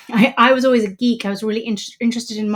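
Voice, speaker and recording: A woman with a British accent at a very fast pace and fairly high pitch, in a very clean recording with a silent background. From England, UK, raised in Polish immigrant family. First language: Polish. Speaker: journalist and editor. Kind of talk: interview conversation.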